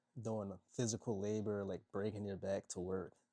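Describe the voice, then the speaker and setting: Against a quiet background, a man speaks with a fairly low pitch and a dark, mellow tone. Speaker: motivational content creator. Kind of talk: casual vlog monologue. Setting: at home, people sleeping next door. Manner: quiet, kept low.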